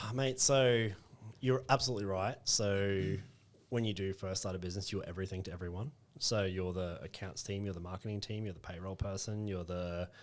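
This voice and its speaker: A man with an Australian accent, fairly quick pace, and ordinary pitch variation. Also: very clean recording, silent background. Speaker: recruitment business owner. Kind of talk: podcast interview. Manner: direct, short and sharp.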